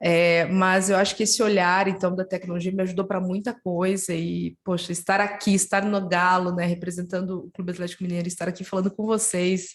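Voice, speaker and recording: Over noticeable background noise, a speaker with a southern Brazilian accent talks at a fairly quick pace with hardly any pauses and monotone, flat intonation. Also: woman, medium pitch for a woman. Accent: southern Brazilian, gaúcho-like. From southern Brazil, Curitiba. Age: 30s. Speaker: head of innovation at a football club. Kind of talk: webinar interview.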